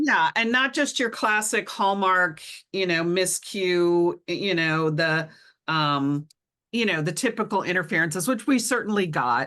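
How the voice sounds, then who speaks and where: A woman's medium-pitched, bright, sharp voice at a fairly slow pace, with lively intonation, very even loudness and a quiet background. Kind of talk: podcast discussion.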